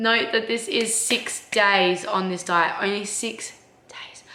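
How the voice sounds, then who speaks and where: Amid audible room echo, a woman speaks at a very slow pace with ordinary pitch variation. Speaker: vlogger. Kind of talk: casual vlog talk to camera. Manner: casual, chatty.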